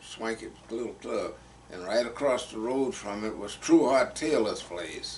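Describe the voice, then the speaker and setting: In a Texas accent, a man speaks at a very slow pace and medium pitch. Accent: Southern US, Texas. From Fayette County, Texas. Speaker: retired soil conservationist, Navy veteran. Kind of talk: oral history interview answer.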